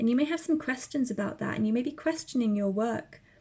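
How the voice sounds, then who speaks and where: Lively intonation runs through a woman's dark, mellow voice. She sounds somewhat breathy. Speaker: tarot reader. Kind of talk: tarot reading to camera.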